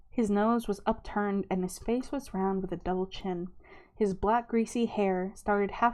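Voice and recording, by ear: Reading aloud in a natural voice, intonation kept fairly even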